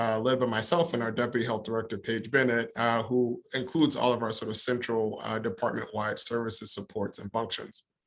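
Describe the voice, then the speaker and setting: A man talks at a fairly quick pace with hardly any pauses. His medium-pitched voice keeps a fairly even intonation. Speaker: county public health director. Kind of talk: conference presentation. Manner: fast.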